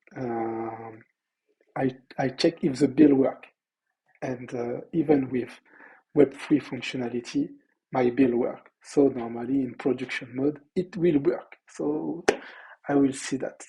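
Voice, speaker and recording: Pausing long and often, a man speaks at a fairly slow pace in a somewhat breathy, medium-pitched voice with a dark, mellow tone. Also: ordinary pitch variation. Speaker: entrepreneur and web developer. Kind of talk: video diary; tutorial. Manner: halting.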